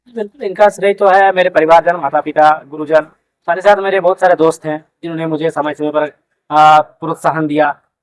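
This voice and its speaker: A man speaks with a Jharkhand accent. His pitch is fairly high and his intonation fairly even. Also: moderate pace, dry, close sound with no echo. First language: Kurmali (speaking Hindi). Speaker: newly appointed police officer, exam topper. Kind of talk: interview. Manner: hesitant with fillers.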